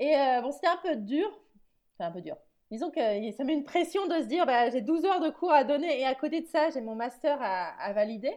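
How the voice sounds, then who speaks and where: High pitch from a woman, with pitch swinging very widely. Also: fairly quick pace. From France. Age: 30s. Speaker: emotional writing coach, former teacher. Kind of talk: interview. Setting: remote recording.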